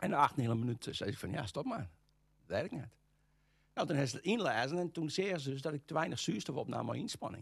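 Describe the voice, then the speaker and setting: Very fast and full of very wide pitch swings, a man's fairly high voice carries vocal fry. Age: 60s. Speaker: golf instructor. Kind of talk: interview. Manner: halting, many hesitations.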